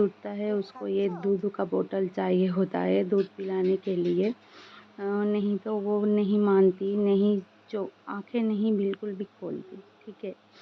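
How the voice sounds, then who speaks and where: This woman's voice sits at a medium pitch. Her intonation is flat and monotone. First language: Bengali (speaking Hindi). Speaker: vlogger, mother. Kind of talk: personal daily vlog. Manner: halting, many fillers.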